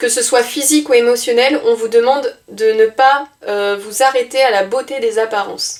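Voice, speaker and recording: A woman's high voice with ordinary pitch variation, at a moderate pace. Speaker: tarot card reader. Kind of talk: card reading guidance. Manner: animated, with hesitations.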